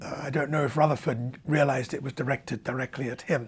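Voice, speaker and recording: A man with a southern English accent speaks at a moderate pace in a fairly high voice. His intonation is fairly even, and background noise is noticeable. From London, England. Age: 70s. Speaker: astrophysicist. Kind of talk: interview. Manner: halting.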